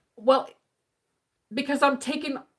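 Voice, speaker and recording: An animated woman's voice, high in pitch. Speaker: spiritual healing coach. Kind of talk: live stream talk. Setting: live stream. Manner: halting, self-correcting; casual, animated.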